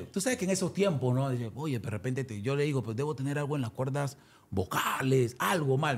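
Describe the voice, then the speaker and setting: Over noticeable background noise, a man speaks at a medium pitch. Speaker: salsa singer. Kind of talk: interview.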